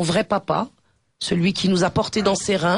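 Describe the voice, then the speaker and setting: Woman at a medium pitch, fairly even intonation, quiet background. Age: 50s. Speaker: activist. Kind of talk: radio talk.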